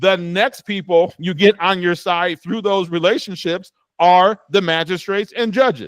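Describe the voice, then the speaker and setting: A man with an American accent speaks at a moderate pace and a high pitch, with ordinary pitch variation. The recording is very clean and dry, close with no echo against a silent background. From Cleveland, Ohio, US Midwest. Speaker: real estate trainer. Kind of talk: lecture.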